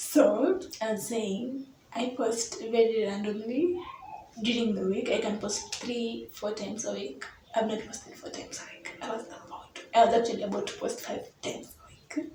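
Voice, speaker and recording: Over noticeable background noise and audible room echo, a woman speaks at a moderate pace with ordinary pitch variation and big swings in loudness. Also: fairly high pitch for a woman. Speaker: YouTuber. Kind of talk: casual vlog monologue.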